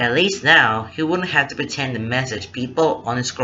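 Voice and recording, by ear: The speaker reads aloud in a natural voice, the intonation lively.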